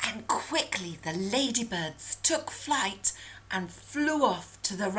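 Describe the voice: Lively intonation marks this plain reading aloud.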